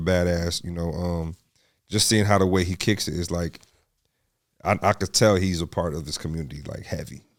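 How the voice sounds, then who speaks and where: A man speaks fairly quickly in a very clean recording with a silent background. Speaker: podcast host and DJ. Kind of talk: casual chat. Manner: animated.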